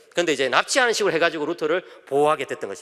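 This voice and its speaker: A man speaks with lively intonation. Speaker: pastor. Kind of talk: sermon. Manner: fast.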